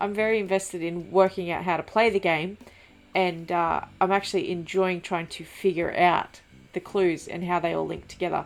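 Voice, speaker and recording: A woman speaks quietly at a medium pitch. Her pace is moderate. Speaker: gaming YouTuber. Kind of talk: let's play commentary.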